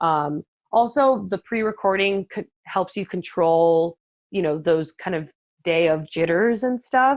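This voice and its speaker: Lively intonation in a dry, close recording with no echo and a quiet background. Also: woman, medium pitch for a woman. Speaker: marketing professional, webinar guest speaker. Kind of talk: live webinar presentation. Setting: live webinar, online. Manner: fast; many fillers and restarts.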